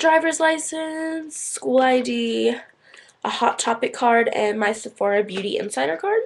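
The voice has very wide pitch swings and a bright, sharp tone, with light background noise behind it. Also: woman. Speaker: vlogger. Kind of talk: casual vlog chat. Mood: playful, chatty. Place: home room. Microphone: webcam.

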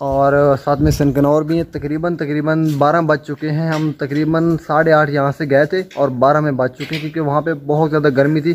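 A man's fairly high-pitched, flat monotone voice at a moderate pace, with hardly any pauses and light background noise. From Punjab, Pakistan. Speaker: vlogger. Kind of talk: vlog walkthrough. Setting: outdoors; indoors. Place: garden. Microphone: phone near.

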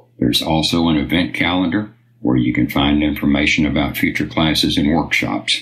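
Very deep, low-pitched speech from a man at a moderate pace, with ordinary pitch variation and noticeable background noise. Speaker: announcer. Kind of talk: scripted narration.

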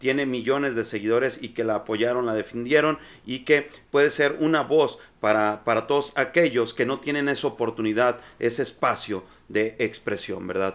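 The voice moves at a moderate pace with ordinary pitch variation. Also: man. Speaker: political commentator. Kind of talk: commentary. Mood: indignant, critical. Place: home room.

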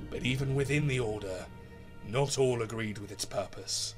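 Music plays in the background as a man talks at medium pitch with fairly even intonation. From British. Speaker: narrator. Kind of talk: epic fantasy narration voice-over.

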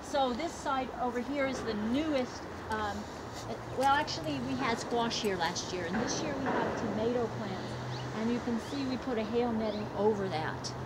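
A woman speaks at a moderate pace. Loud background noise runs under her voice. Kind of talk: guided tour explanation. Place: garden.

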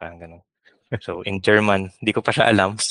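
Fairly slow and fairly even in intonation, the bright, sharp voice comes through dry with no echo over a quiet background. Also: man. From Philippines. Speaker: software engineer; podcast guest. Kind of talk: interview. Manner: halting. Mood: cheerful, laughing. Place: home room. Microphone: headset.

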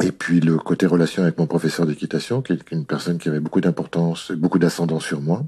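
The tone is dark and mellow. Pitch varies an ordinary amount. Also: man. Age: 60s. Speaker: riding instructor. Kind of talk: testimony.

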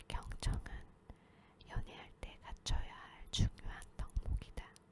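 Whispering at a very slow pace. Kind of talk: sleep reading of a self-help book. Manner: whispered.

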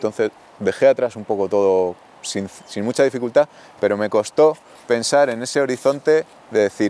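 In a dry recording with no echo, a man talks at a moderate pace with a medium pitch and ordinary pitch variation. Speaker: rural community project member, baker. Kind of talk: interview answer. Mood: reflective, candid. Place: open country. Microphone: lapel.

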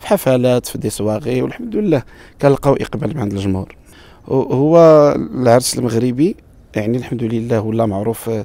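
A man speaks at a moderate pace and a medium pitch, with ordinary pitch variation. His tone is dark and mellow, and the sound is dry with no echo. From Morocco, Marrakech; Morocco. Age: 40s. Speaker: wedding musician and bandleader. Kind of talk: interview. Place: garden. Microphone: handheld.

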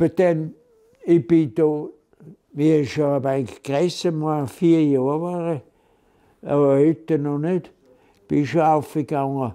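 A man talks at a very slow pace, leaving long, frequent pauses against a quiet background. His pitch is fairly high and his intonation fairly even. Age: 80s+. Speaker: elderly storyteller recalling childhood. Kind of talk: casual reminiscence, oral history interview. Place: home room.

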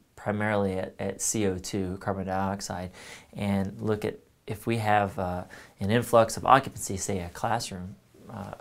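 A man speaks with a fairly low pitch. His intonation is monotone and flat. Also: moderate pace. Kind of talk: tutorial. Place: workshop. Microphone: lapel.

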